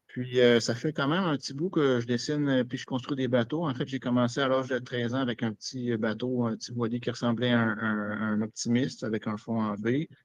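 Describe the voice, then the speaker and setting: Speaking with a Quebec accent at a fairly quick pace, the voice keeps a fairly even intonation and hardly any pauses over a quiet background. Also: man, medium pitch for a man. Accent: Québécois French. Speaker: naval architect. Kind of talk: self-introduction presentation.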